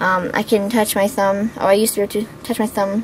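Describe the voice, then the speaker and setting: Speaking with an American accent, a woman has a fairly high pitch. Noticeable background noise is present. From Pittsburgh, Pennsylvania. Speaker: beauty vlogger. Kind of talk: casual vlog Q&A. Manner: chatty, with many fillers.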